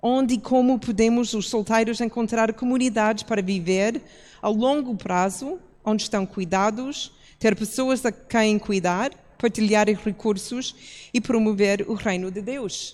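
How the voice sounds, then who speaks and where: On a very clean recording with a silent background, a woman uses a plain, everyday voice, fairly high in pitch, at a fairly slow pace with fairly even intonation. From outside Portugal. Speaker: church pastor. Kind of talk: public talk.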